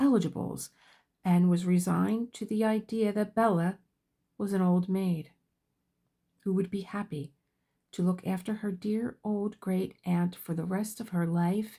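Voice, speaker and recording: A woman speaks at a fairly slow pace with ordinary pitch variation, her dark, mellow tone somewhat breathy, in a very clean recording with a silent background. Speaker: book reader. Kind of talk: audiobook-style novel reading.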